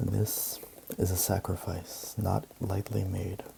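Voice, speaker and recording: Noticeable background noise sits behind the recording. A soft-spoken man talks at a fairly slow pace. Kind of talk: ASMR book reading.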